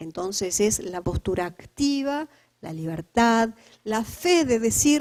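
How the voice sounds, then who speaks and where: A woman with an Uruguayan accent speaks very slowly at a fairly high pitch, with very wide pitch swings and big swings in loudness, on a very clean recording with a silent background. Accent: Uruguayan Spanish, noticeable. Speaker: lecturer on community resilience and spirituality. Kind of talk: lecture.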